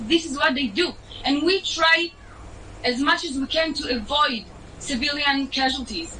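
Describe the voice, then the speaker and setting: A woman with an Israeli accent speaks in a raised, projected voice at a high pitch, at a moderate pace with ordinary pitch variation and long, frequent pauses, over noticeable background noise. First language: Hebrew. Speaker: TikTok creator. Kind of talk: heated debate. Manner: animated.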